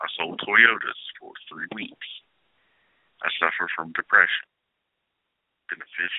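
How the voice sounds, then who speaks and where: The pace here is fairly slow. A man talks in an American accent. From North Carolina. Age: 30s. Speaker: podcast host. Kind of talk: casual monologue.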